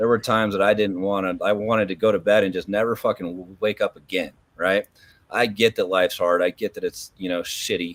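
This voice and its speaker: The man talks at a fairly quick pace with monotone, flat intonation. The sound is dry and close, with no echo. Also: fairly low pitch for a man. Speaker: motorcycle club member and channel host. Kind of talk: casual chat.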